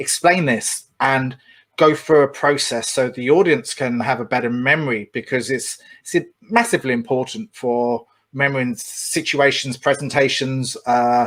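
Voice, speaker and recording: A man with an English accent speaks at a medium pitch and a moderate pace, with ordinary pitch variation. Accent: pronounced English. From England. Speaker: podcast host. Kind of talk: interview.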